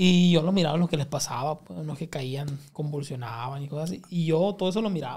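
Over a quiet background, a man with a northern Mexican accent talks at a fairly quick pace in a fairly high voice. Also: ordinary pitch variation. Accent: northern Mexican (Sinaloa). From Culiacán, Sinaloa, Mexico; Sinaloa, Mexico. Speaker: comedian; podcast guest. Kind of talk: casual chat. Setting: studio. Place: studio. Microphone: studio mic.

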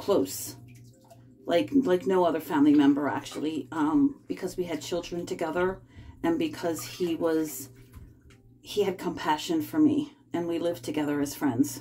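A woman's fairly low voice at a moderate pace with lively intonation, over light background noise. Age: 50s. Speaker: vlogger. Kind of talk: casual chat. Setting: bathtub at home. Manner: rambling, halting. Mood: calm, personal, confiding. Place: bathroom. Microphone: phone near.

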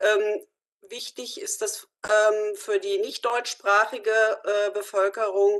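The speech moves at a very slow pace with monotone, flat intonation. Behind it, the background is quiet. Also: woman, fairly high pitch for a woman. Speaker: youth and community work representative. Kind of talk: discussion statement. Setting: video call. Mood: earnest, concerned. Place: home room. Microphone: video call.

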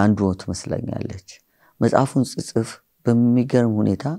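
A man's dark, mellow tone with fairly even intonation, over a quiet background. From Ethiopia, grew up in Hawassa; Ethiopia. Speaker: pastor and author; pastor. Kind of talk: interview. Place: studio. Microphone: lapel.

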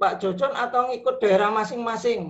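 A man is speaking. The background is quiet. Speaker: vocational teacher trainee. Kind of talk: question in online class. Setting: video call. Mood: polite inquiring. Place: home room. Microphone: video call.

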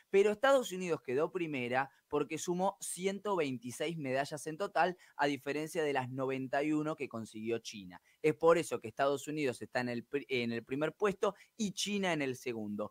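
A man with a fairly high pitch and an unremarkable speaking voice talks at a moderate pace with lively intonation. The sound is dry with no echo, and the background is quiet. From Argentina. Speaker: sports reporter. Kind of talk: sports news report. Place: studio. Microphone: studio mic.

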